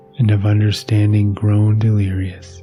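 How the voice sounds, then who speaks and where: A man's fairly low voice at a fairly slow pace, calm and soothing in tone, with music in the background. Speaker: meditation teacher and sleep podcast host. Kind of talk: reading a philosophical text aloud for sleep. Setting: podcast recording. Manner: calm, soothing, slow.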